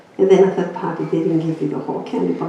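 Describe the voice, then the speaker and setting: Through noticeable background noise and an audible room echo, a woman speaks. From Greece. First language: Greek. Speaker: inspirational speaker. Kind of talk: personal testimony talk.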